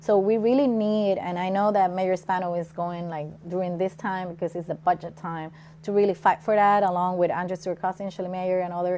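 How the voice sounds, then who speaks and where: A woman's dark, mellow voice at medium pitch, with fairly even intonation. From Puerto Rico. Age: 30s. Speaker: political candidate and labor organizer. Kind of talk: interview.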